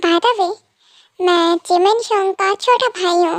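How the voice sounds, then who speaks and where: A woman's put-on character voice, squeaky and extremely high, at a moderate pace. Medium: fan dub.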